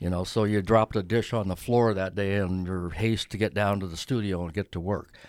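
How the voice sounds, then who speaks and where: A man talks at a fairly quick pace with hardly any pauses, his pitch fairly low and his intonation fairly even. The recording is very clean, with a silent background. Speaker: artist. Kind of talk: casual interview chat. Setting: studio. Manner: relaxed, hesitant, filler-heavy.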